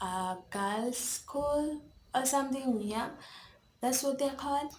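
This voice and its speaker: Whispering at a fairly slow pace, a woman can be heard with audible room echo. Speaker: YouTuber. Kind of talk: story time. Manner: casual, rambling.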